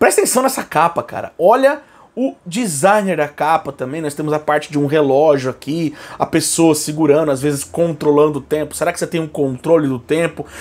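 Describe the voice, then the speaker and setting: A man with a Brazilian accent speaks fairly quickly in an animated tone. His pitch is fairly high, with ordinary variation. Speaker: YouTuber, metal album reviewer. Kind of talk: casual album review vlog. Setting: at home. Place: home room.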